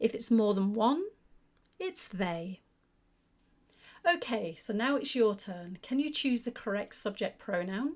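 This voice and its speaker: A woman's fairly high voice with very wide pitch swings, a fairly slow pace and long, frequent pauses. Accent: British. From United Kingdom. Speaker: English teacher. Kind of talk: grammar lesson narration. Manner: clear.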